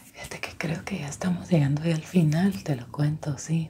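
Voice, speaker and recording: Whispering and soft-spoken, a woman talks at a moderate pace with big swings in loudness over light background noise. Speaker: ASMR creator. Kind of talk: soft-spoken ASMR roleplay. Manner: soft intimate ASMR whisper. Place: home room.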